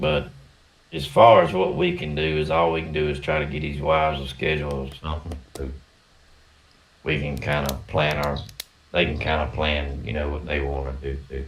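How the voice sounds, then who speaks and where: A man's very deep, low voice in a strong Southern US accent, monotone and flat at a moderate pace with long, frequent pauses, amid audible room echo and noticeable background noise. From US South. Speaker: RC racing podcast co-host. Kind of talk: casual chat.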